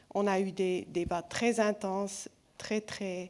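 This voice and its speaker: A woman speaks at a medium pitch and a very slow pace. The recording is very clean, with a silent background. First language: not French (speaking French). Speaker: film festival jury member. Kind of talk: award speech. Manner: halting, self-correcting.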